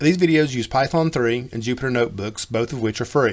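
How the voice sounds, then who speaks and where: A man with an Appalachian accent talks at a very fast pace. His pitch is medium, with ordinary variation. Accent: Appalachian hillbilly. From US South, Western North Carolina. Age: old. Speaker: coding teacher. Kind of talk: tutorial.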